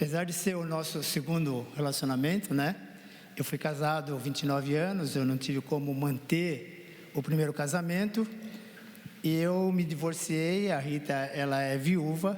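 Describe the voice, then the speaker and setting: Here a man uses a normal speaking voice at a fairly high pitch. His pace is moderate and his pitch varies in an ordinary way. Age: 60s. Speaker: counseling guest, husband. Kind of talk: testimony.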